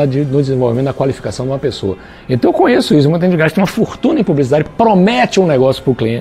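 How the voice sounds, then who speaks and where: Noticeable background noise fills the clip. A fairly high-pitched man talks very fast over it. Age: 60s. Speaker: business consultant and author. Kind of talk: interview. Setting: studio, also streamed live on Facebook.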